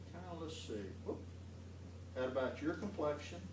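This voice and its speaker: Amid noticeable background noise and audible room echo, a man with an American accent speaks with lively intonation. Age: 60s. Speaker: judge. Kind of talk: talk to school students.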